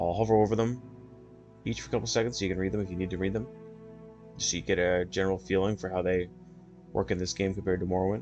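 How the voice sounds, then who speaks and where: A man with a very deep, low voice speaks at a very fast pace, with ordinary pitch variation. Long pauses come often, and music plays in the background. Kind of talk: casual gaming walkthrough talk. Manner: soft-spoken.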